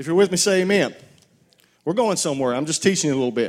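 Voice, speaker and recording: A man speaks at a very fast pace with very wide pitch swings. The recording is very clean, with a silent background. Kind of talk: sermon. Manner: animated, loud call-and-response preaching, urging the congregation to shout amen.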